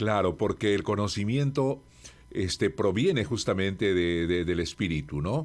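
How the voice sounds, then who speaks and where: At a fairly slow pace, a man with an unremarkable speaking voice talks using lively intonation. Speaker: radio institutional voice, locution teacher and author. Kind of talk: interview answer about speaking and voice. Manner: measured, warm, articulate.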